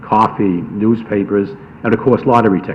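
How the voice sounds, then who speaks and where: Noticeable background noise surrounds a man with a fairly low pitch. He speaks at a fairly quick pace with fairly even intonation. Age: 70s. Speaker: lawyer speaking at public hearing. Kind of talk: public comment at hearing. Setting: town public hearing. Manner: hesitant, many fillers.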